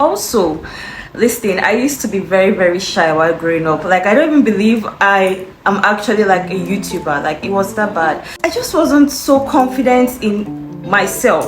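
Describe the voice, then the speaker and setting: A woman's medium-pitched voice at a moderate pace, with audible room echo and noticeable background noise. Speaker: YouTuber. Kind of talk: casual vlog talk. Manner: frequent fillers and hesitations.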